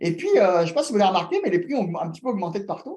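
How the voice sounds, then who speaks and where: A man's dark, mellow voice rises and falls with lively intonation. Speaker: real estate investment workshop host. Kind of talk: online workshop presentation. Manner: hesitant, many fillers.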